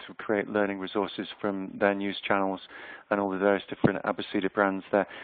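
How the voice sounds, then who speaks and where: Speaking at a moderate pace, a man with a fairly low pitch has a slight Yorkshire accent. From Yorkshire, northern England. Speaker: HR consultant and researcher. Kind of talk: webinar presentation. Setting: online webinar. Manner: hesitant, many fillers.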